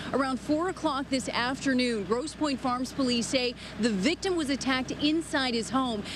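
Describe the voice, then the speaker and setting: This woman's voice sits high and moves with ordinary pitch variation at a moderate pace. She hardly pauses, and noticeable background noise is present. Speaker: TV news reporter and anchor. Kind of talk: live TV news report. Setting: outdoors, on location at a news scene.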